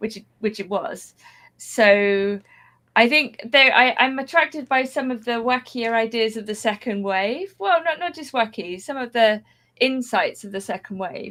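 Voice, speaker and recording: On a very clean recording with a silent background, a woman with a southern English accent speaks at a fairly slow pace and fairly high pitch. Her tone is bright and sharp, her intonation lively, and her loudness swings widely. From southwest England. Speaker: writer and adult education teacher. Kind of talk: podcast interview. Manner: slightly manic.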